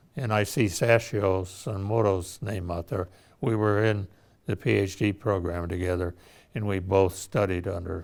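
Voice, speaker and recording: A man with an American accent has a very deep, low pitch and fairly even intonation. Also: fairly slow pace. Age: 80s+. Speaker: retired engineer and scientist. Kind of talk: career reflection speech. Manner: halting.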